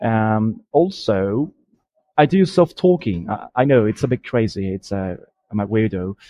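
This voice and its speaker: A man speaks in a British accent at a medium pitch, his tone dark and mellow. The sound is dry and close with no echo. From Colombia. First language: Spanish. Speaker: language learner. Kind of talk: recorded listener message. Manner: hesitant, many fillers.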